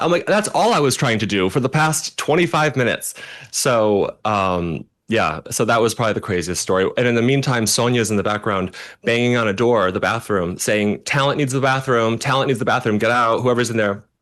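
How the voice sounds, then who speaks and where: Behind the man, the background stays quiet. He talks fairly quickly, with ordinary pitch variation. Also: very even loudness. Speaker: celebrity makeup artist. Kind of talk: casual interview chat.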